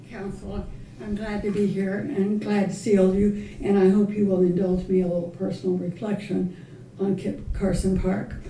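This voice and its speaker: A woman speaks at a moderate pace with ordinary pitch variation and big swings in loudness. Room echo is audible, and there is noticeable background noise. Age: 90s. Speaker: longtime community volunteer. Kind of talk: public comment, personal reflection. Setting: city council meeting podium.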